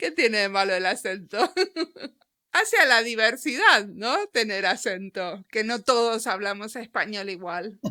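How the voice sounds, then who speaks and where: A woman speaks with a fairly high pitch and a bright, sharp tone. The recording is very clean with a silent background. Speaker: podcast interviewer. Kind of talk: interview.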